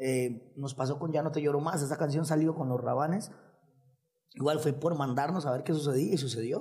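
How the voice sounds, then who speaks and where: An unremarkable speaking voice from a man, fairly high in pitch, with fairly even intonation at a moderate pace. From Costa Rica, Nicoya. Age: 30s. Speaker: singer and musician. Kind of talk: casual chat.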